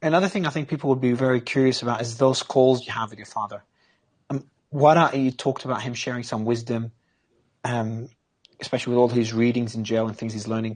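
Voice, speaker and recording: A man's medium-pitched voice in an Australian accent, very fast, with fairly even intonation and big swings in loudness. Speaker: interviewer. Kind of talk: interview.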